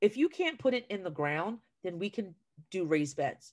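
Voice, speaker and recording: A woman with an American accent and very wide pitch swings. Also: quiet background. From New Jersey. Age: 40s. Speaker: retired teacher and school garden educator; retired teacher, school garden educator. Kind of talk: casual chat. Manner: talkative. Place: home room. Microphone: video call.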